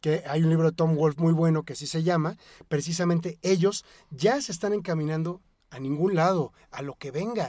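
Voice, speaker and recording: Speaking at a moderate pace with a Mexican accent, this dark, mellow voice has ordinary pitch variation and big swings in loudness, captured in a very clean recording with a silent background. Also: man, high pitch for a man. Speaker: rock music expert. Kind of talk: casual chat. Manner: halting.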